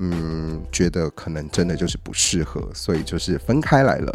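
A man's voice, moderately paced, over background music. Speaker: podcast host. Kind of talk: casual solo monologue. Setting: at home, isolating.

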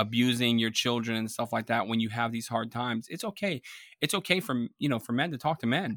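A man at a very fast pace and medium pitch with ordinary pitch variation, in a very clean recording with a silent background and a dry, close sound with no echo. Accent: American. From Florida, Tampa Bay. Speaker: Navy veteran and network engineer, father. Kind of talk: casual interview. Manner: halting, with many fillers and repetitions.

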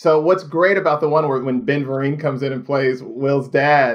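In an American accent, a plain, everyday voice speaks at a moderate pace. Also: man. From Indiana, US Midwest. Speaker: TV showrunner. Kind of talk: casual chat.

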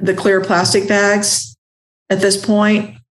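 A woman speaks at medium pitch with a slight Ozark accent. Her pace is very slow. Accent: slight Ozark twang. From US South, southwest Missouri (Ozarks). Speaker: laundromat owner. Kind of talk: interview.

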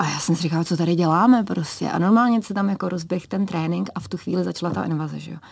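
A woman with a fairly low pitch talks at a very fast pace with hardly any pauses and ordinary pitch variation, against noticeable background noise. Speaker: ski cross athlete. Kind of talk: radio interview. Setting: radio studio.

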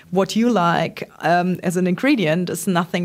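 The speaker is a woman with a German accent. She talks at a moderate pace. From Germany, Trier. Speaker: startup founder. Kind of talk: interview. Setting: office. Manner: hesitant, many ums.

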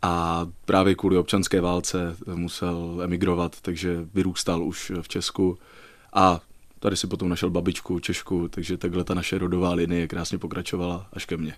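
A man with a very deep, low voice speaks at a moderate pace in a flat monotone. The recording is very clean, with a silent background. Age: 20s. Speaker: stage actor. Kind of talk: radio interview. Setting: radio studio.

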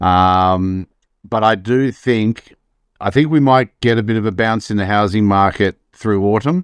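Against a quiet background, a man with an Australian accent speaks at a fairly low pitch with ordinary pitch variation, the sound dry and close with no echo. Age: 50s. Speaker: economist. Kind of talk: podcast interview.

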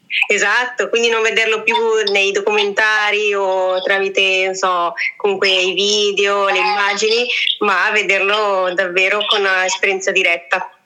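Speaking at a fairly slow pace, a woman with a medium pitch keeps a monotone, flat intonation and very even loudness, with audible room echo around her. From Italy. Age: 30s. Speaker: travel blogger. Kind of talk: casual interview. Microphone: voice echoes back, sounds metallic.

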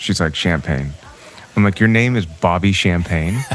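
A man's very deep, low voice at a moderate pace with lively intonation, over noticeable background noise. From Toronto, Canada. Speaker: musician. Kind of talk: casual chat.

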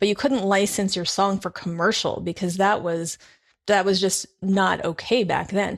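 A woman in a normal speaking voice, medium in pitch, with fairly even intonation at a moderate pace. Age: 40s. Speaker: podcast host. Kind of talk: casual interview.

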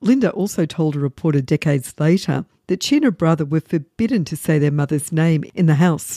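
A woman's very deep, low voice with a dark, mellow tone at a fairly quick pace, dry and close with no echo, on a very clean recording with a silent background. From Vancouver, Canada. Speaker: true crime podcaster and author. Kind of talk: true-crime narration, scripted and read in a steady, serious storytelling tone. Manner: measured, even and sombre.

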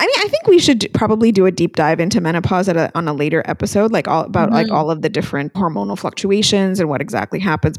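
Lively intonation marks a woman's normal speaking voice. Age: 40s. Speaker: podcast co-host. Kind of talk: casual chat.

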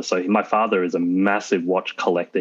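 A moderate pace with an Australian accent over a quiet background. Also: man. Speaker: car owner. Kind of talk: casual interview. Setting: video call.

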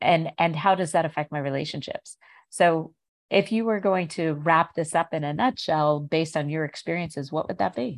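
A woman with a fairly low pitch speaks in a plain, everyday voice at a moderate pace with ordinary pitch variation, in a dry, close sound with no echo and a quiet background. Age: 50s. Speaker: podcast host. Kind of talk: interview.

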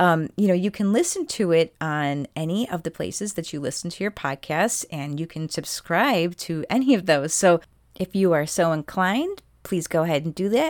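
An unremarkable speaking voice at a moderate pace with ordinary pitch variation, in a dry, close sound with no echo and a very clean recording over a silent background. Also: woman, fairly low pitch for a woman. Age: 40s. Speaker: podcast host. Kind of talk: casual conversation.

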